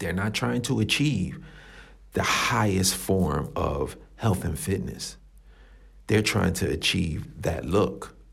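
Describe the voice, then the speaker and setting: Very deep and low, a man's voice carries vocal fry and very wide pitch swings. He speaks very slowly with long, frequent pauses, and audible room echo fills the recording. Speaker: fitness podcast host. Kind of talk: solo podcast monologue. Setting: coworking space room. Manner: casual, filler-heavy. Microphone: echoey room sound.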